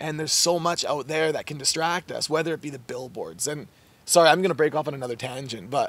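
With a fairly high pitch, a man talks at a fairly quick pace and ordinary pitch variation. The sound is dry with no echo. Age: 20s. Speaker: mindset coach. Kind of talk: casual interview. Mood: warm, earnest, reflective. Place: garden.

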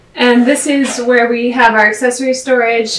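A woman speaks over light background noise, with audible echo from the room. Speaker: costume shop staff guide. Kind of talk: guided tour explanation. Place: shop. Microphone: camera far.

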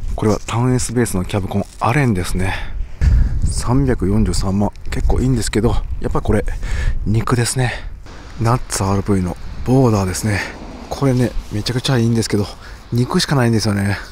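There is light background noise as a man speaks at a fairly quick pace in a dry sound with no echo. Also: ordinary pitch variation. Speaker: camper van vlogger. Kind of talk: casual vlog chat. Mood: excited, upbeat. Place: street. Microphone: phone near.

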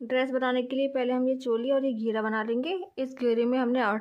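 Against a quiet background, a woman speaks at a moderate pace in a high pitch with fairly even intonation. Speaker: crochet channel host. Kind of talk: tutorial.

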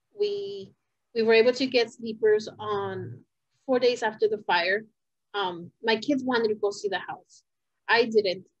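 A woman with a fairly high pitch speaks at a moderate pace with ordinary pitch variation. The sound is dry with no echo, and the background is quiet. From California, US (born in Puebla, Mexico); California. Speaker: fire survivor and community advocate. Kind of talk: interview testimony. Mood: reflective, personal. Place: home room. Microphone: video call.

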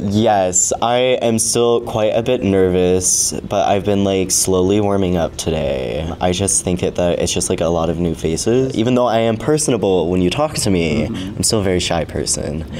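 A man with an American accent and a very deep, low pitch, lively intonation, a moderate pace, hardly any pauses, and noticeable background noise. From Arizona. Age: 20s. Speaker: adult content creator. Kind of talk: casual interview chat.

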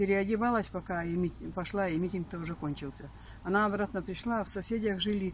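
A woman's somewhat breathy, medium-pitched voice at a very fast pace, fairly even in intonation, dry with no echo, over light background noise. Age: 80s+. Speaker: elderly villager; interviewee. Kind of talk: personal reminiscence. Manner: halting. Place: garden.

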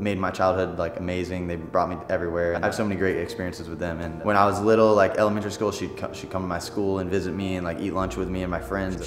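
Very fast, monotone, flat speech from a man with a very deep, low voice, hardly any pauses, and clear music in the background. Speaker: vlogger. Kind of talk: casual vlog chat. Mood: warm, reminiscing about family. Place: home room.

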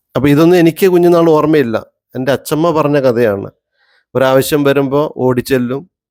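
In a dry, close recording with no echo, a man with a fairly high pitch talks in an unremarkable speaking voice. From Kerala, Wayanad. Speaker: travel vlogger. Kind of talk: casual chat.

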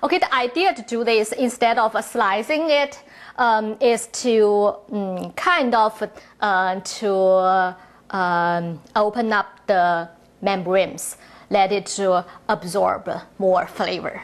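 The woman talks at a very slow pace. Pitch varies in an ordinary way. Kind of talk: tutorial. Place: kitchen.

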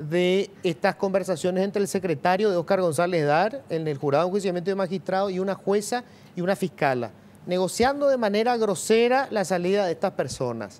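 Fairly quickly and at a high pitch, a man speaks with ordinary pitch variation. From Paraguay. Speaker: TV news host. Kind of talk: TV interview. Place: studio. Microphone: lapel.

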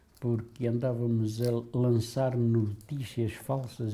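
Very slowly, a man speaks in a dark, mellow tone that is somewhat breathy, his intonation flat and monotone. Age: 80s+. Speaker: former political prisoner. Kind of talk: testimony. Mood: calm, reflective. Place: home room. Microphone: lapel.

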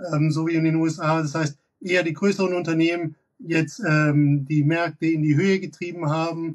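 A man talks at a moderate pace with fairly even intonation. His pitch is fairly high.

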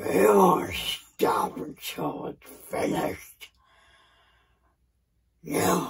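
In a raspy, put-on character voice with a very deep, low pitch, a woman speaks at a very slow pace with long, frequent pauses. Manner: menacing, contemptuous.

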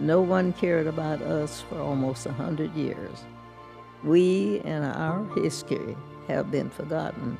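Clear music plays in the background as a woman with an American accent speaks at a fairly slow pace. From Tulsa, Oklahoma. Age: 80s+. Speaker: massacre survivor. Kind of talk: congressional testimony. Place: hall. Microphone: podium.

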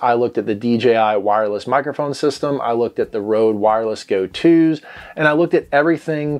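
Moving at a fairly quick pace, a man talks with ordinary pitch variation. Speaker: gear reviewer. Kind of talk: product review talk to camera. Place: home room. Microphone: lapel.

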